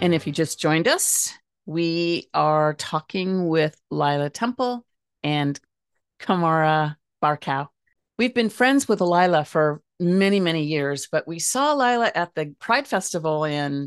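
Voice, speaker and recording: A woman with an ordinary speaking voice talks at a fairly slow pace, fairly low in pitch and with lively intonation, the sound dry and close with no echo over a quiet background. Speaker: radio host. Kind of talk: interview.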